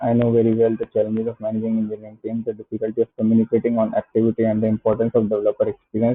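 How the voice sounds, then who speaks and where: A man with an Indian accent at a medium pitch, very fast pace, monotone, flat intonation and hardly any pauses. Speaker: software entrepreneur. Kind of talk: casual product review, reading web pages aloud. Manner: hesitant, many filler sounds.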